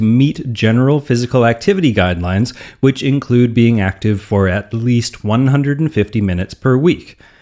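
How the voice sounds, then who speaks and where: A plain, everyday voice from a man with a Canadian accent, medium pitch, lively intonation, and moderate pace. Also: quiet background. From Canadian prairies. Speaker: fitness podcast host. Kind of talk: scripted narration.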